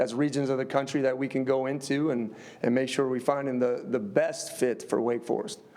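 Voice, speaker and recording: Speaking at a fairly quick pace with fairly even intonation, a man with a slight Upper Midwest accent and medium pitch is heard in a room with audible echo. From US Midwest, Upper Peninsula area. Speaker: football head coach. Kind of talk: press conference answers. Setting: press conference.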